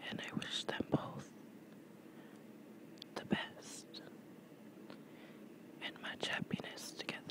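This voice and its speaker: Someone soft-spoken is whispering in a dry space with no echo, with noticeable background noise around them. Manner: soft, slow relaxation whisper.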